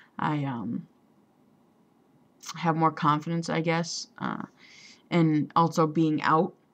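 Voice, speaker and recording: The speech moves at a very slow pace, with long, frequent pauses. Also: woman. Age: 20s. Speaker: vlogger. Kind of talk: personal vlog. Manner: halting, many fillers.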